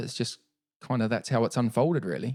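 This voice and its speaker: A man with a New Zealand accent on a very clean recording, silent background, and a dry, close sound with no echo. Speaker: Paralympic cyclist. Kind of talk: podcast interview.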